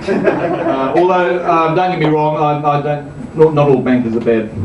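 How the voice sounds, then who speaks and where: A man's fairly high voice with ordinary pitch variation, amid audible room echo and noticeable background noise. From not from England, immigrant. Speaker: stand-up comedian. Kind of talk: stand-up. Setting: stage with audience. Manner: halting, many ums and uhs.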